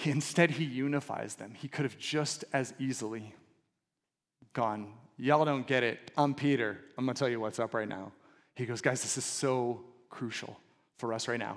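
With a Californian accent, a man speaks at a moderate pace in a medium pitch with fairly even intonation. Long, frequent pauses break up his speech on a very clean recording with a silent background. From Southern California. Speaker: pastor. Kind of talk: sermon.

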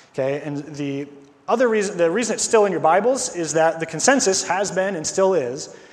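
With noticeable background noise behind him, a man speaks at a fairly quick pace in a high voice with ordinary pitch variation. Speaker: preacher. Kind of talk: sermon. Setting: church.

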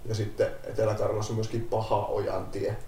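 Audible room echo surrounds a man as he talks at a moderate pace. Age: 30s. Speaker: paramedic. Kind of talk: casual chat.

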